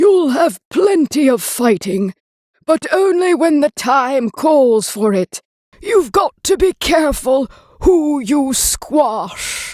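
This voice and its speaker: A put-on character voice, pitched high, creeps along at a very slow pace. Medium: read story.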